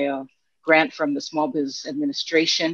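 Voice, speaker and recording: A woman with a plain, everyday voice speaks at a fairly quick pace and a fairly low pitch with ordinary pitch variation, in a dry sound with no echo against a quiet background. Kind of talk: webinar presentation. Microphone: video call.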